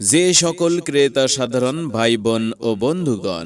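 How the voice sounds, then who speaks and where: An unremarkable speaking voice from a man, medium in pitch, with lively intonation. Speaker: voice artist. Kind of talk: loudspeaker shop announcement.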